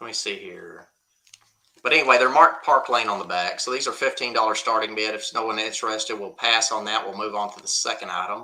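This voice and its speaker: Speaking very fast in a Southern US accent, a man keeps a medium pitch and fairly even intonation while his loudness swings widely. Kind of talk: live auction stream.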